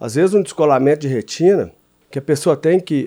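On a very clean recording with a silent background, a man talks in a fairly high pitch with a dark, mellow tone. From southern Minas Gerais, Brazil. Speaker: congressman and farmer. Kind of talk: radio interview. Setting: radio studio.

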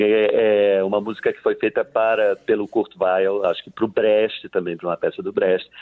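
The man talks at a moderate pace. He hardly pauses at all. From Leticia, Colombia (Amazon border). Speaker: actor and theatre director. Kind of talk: casual interview.

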